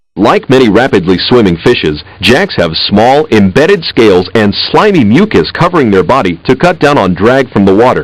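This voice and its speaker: A man with very wide pitch swings and very even loudness, with hardly any pauses. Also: medium pitch for a man, moderate pace. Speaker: educational software narrator. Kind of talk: educational narration.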